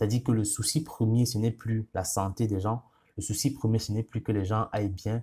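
A man with a non-native accent, medium pitch, dark, mellow tone and somewhat breathy delivery, fairly even intonation at a moderate pace on a very clean recording with a silent background. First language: not French (speaking French). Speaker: YouTuber. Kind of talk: casual monologue. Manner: hesitant, many fillers.

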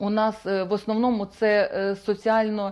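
A woman speaks against a quiet background. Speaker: guest. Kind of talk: interview answer. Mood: calm, official, informative. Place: studio. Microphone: lapel.

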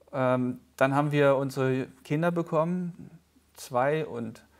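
Against a quiet background, a man with a fairly high voice speaks with fairly even intonation. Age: 30s. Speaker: pastor. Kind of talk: casual chat. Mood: calm, personal, reflective. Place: studio. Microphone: lapel.

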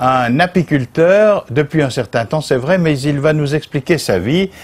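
Very slow speech from a man with a fairly high pitch and lively intonation. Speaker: TV interviewer. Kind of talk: interview. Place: garden.

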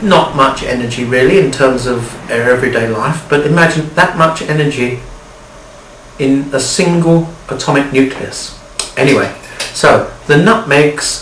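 A man talks at a moderate pace with ordinary pitch variation. There is audible room echo along with light background noise. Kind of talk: humorous explanation. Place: home room. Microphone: camera far.

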